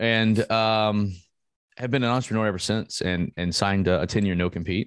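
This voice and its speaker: A man with an ordinary speaking voice talks at a fairly low pitch with fairly even intonation. The recording is very clean, with a silent background. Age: 30s. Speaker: esports league executive. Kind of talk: casual chat.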